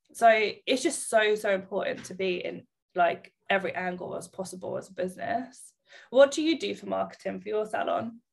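A woman talks at a moderate pace. She has a southern England accent. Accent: British English, southern England. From Bedfordshire, England. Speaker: salon owner and podcast host. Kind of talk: casual interview chat. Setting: remote call between two countries.

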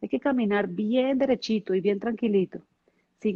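A woman's unremarkable speaking voice, fairly high-pitched, at a moderate pace. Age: 40s. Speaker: network marketing leader. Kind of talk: interview.

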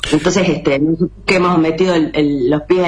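In a Rosario accent, a woman talks fairly quickly in a very deep, low voice with flat, monotone intonation. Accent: Rioplatense Spanish, Rosario. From Argentina. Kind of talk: casual chat. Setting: video call from home.

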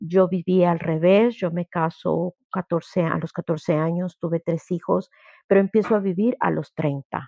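A woman's fairly low, dark, mellow voice at a fairly slow pace, with fairly even intonation and a dry, close sound with no echo. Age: 50s. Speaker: grief therapist and workshop leader. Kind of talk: workshop talk.

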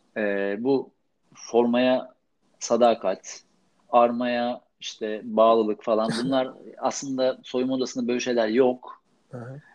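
Speaking very slowly, a man with a medium-pitched voice keeps a flat, monotone delivery. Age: 40s. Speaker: sports journalist. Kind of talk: casual chat.

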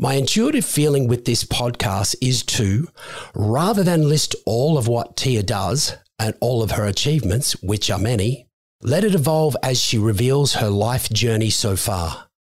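Somewhat breathy, a man speaks at a medium pitch and fairly slow pace, with lively intonation and very even loudness. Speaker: podcast co-host. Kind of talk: casual interview.

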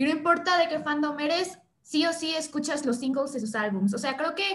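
A woman's voice at a moderate pace. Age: 20s. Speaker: film student and content creator. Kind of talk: casual chat.

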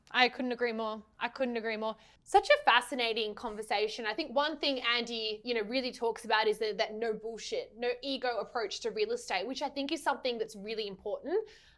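Animated and fairly quick, a woman speaks with hardly any pauses. Her pitch is fairly high, with ordinary variation. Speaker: podcast co-host. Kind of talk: casual interview.

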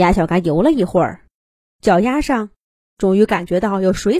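There is a quiet background behind a natural reading voice.

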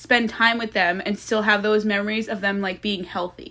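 A woman speaks with a Long Island accent in a fairly high voice, her tone bright and sharp. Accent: New York (Long Island). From Long Island, New York. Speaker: college student. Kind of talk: casual chat.

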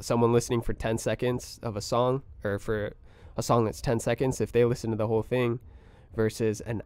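A man's medium-pitched voice with an American accent at a moderate pace, on a very clean recording with a silent background. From US West Coast, Oxnard, California. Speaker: music producer. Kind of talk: casual chat.

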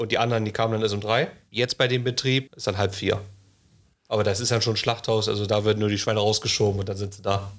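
Over a silent background in a very clean recording, a man talks very fast. His fairly low voice is monotone and flat. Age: 20s. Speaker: master butcher. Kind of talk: casual chat.

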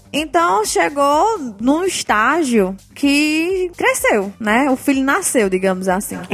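Against noticeable background noise, a high-pitched woman speaks very slowly with hardly any pauses, very wide pitch swings and very even loudness. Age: 20s. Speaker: education entrepreneur, tutoring business owner. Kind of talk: interview.

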